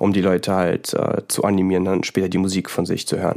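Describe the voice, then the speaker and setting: Very deep and low, this man's voice has a dark, mellow tone. He speaks at a moderate pace with monotone, flat intonation. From Central Hesse, Germany. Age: 20s. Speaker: psytrance music producer. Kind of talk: casual interview.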